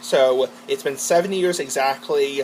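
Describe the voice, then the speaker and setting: Clear background noise fills the recording. The man's pitch rises and falls in a normal way. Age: 20s. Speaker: vlogger. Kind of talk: casual monologue vlog. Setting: garage with door open. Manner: rambling, fast.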